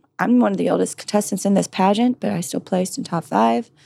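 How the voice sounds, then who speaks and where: A woman talks at a fairly quick pace and medium pitch, with lively intonation. Vocal fry shows up in her voice. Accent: American. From California, US. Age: 30s. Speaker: model and firearms trainer. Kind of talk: interview.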